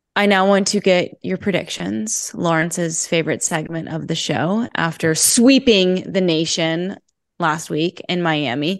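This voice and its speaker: Against a quiet background, a woman with an unremarkable speaking voice and fairly low pitch speaks at a fairly slow pace with lively intonation. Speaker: podcast host. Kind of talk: casual podcast chat.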